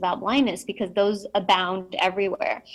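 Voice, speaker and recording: A woman at a moderate pace. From Mexico, raised in US from age five. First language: Spanish. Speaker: keynote speaker, blindness advocate. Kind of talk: keynote speech. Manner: frequent 'um' fillers, conversational.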